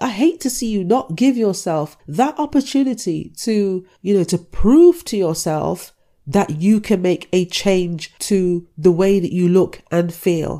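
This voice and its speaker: On a very clean recording with a silent background, a woman with a dark, mellow tone speaks fairly slowly at a medium pitch with lively intonation. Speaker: fitness podcaster. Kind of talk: motivational rant, scolding tough-love pep talk. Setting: solo podcast, self-recorded. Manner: forceful, blunt, impatient; direct, repeatedly addressing listener as 'you'.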